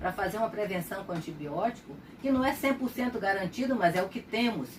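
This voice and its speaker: A medium-pitched woman with lively intonation, over noticeable background noise. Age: 70s. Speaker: retired pediatrician. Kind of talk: personal testimony.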